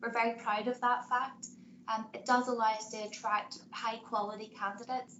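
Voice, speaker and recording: In a Northern Irish accent, a woman speaks at a moderate pace with fairly high pitch and monotone, flat intonation. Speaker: banking executive. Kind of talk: webinar presentation.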